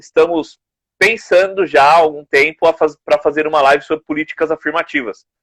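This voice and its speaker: At a moderate pace, a man talks at a high pitch with ordinary pitch variation, in a dry, close sound with no echo. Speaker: podcast co-host. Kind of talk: casual live-stream discussion. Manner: soft-spoken.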